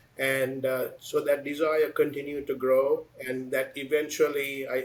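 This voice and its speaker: A man's flat, monotone delivery over noticeable background noise. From Sri Lanka. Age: 60s. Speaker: business executive. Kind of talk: interview. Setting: podcast.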